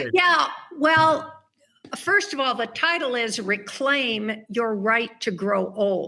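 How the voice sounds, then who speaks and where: The delivery moves at a very slow pace. Pitch swings are very wide. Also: woman, fairly high pitch for a woman. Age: 70s. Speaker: author. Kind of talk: interview.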